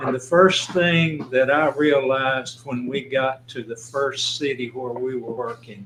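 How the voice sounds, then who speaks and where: Speaking fairly slowly with a Tennessee accent, a man keeps a medium pitch and fairly even intonation. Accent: Southern US, Tennessee. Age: 80s+. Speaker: county commissioner. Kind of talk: casual chat.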